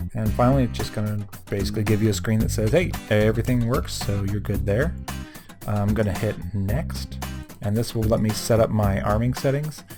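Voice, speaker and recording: Over music in the background, a man mumbles in a fairly low pitch with very wide pitch swings. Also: fairly quick pace. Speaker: RC hobbyist. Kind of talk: screen-recorded tutorial narration. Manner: mumbling, hesitant with many fillers; casual.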